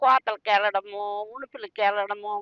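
A woman's bright, sharp tone in a dry, close sound with no echo. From Srikakulam district, Andhra Pradesh. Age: 70s. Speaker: fish seller from fishing family. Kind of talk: interview answer.

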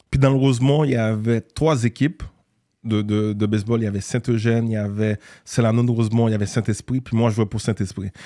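Over a quiet background, a man with a medium pitch and a dark, mellow tone speaks with fairly even intonation. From Haiti (Port-au-Prince), raised later in Montreal. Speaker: entrepreneur and former basketball player. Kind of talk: casual interview. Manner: hesitant, many fillers. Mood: calm storytelling. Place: studio. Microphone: studio mic.

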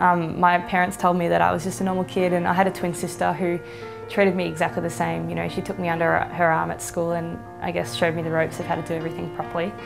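A woman at a very fast pace, clear music in the background. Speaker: interviewee. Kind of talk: interview answer. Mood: light, amused storytelling. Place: home room. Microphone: lapel.

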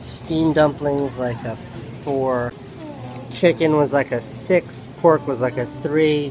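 Noticeable background noise runs beneath a dry sound that carries no echo. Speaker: vlogger. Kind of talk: casual vlog chat. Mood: wry, joking. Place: cafe. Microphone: phone near.

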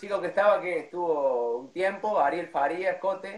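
A man at a high pitch, talking at a fairly slow pace amid audible room echo. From Córdoba, Argentina. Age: 30s. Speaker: cuarteto band announcer and MC; cuarteto band announcer, MC. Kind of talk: casual interview on a livestream. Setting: video call livestream. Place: home room. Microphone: too quiet, no headphones; phone near.

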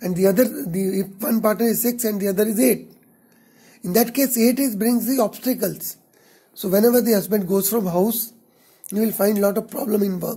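The speaker has an Indian accent and moves at a moderate pace. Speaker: astrologer. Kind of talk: tutorial.

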